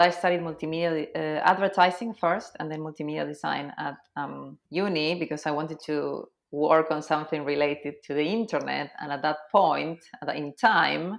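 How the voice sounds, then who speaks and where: A woman with an Argentine accent speaks at a very deep, low pitch with vocal fry and fairly even intonation. Her pace is moderate, with hardly any pauses against a quiet background. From Argentina, Cordoba. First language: Spanish. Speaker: SEO consultant. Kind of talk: podcast interview.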